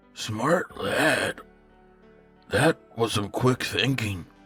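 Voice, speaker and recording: A man's raspy, put-on character voice at a medium pitch, with faint music in the background. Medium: read story. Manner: courteous, measured, faintly condescending.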